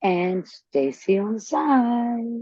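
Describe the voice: A put-on character voice, female-sounding and medium in pitch.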